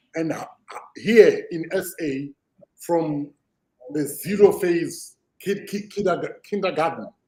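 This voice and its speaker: Very slow, with long, frequent pauses, a man in a South African accent speaks in a high yet dark, mellow voice, his intonation lively and his loudness swinging widely. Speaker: podcast host. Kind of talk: podcast conversation.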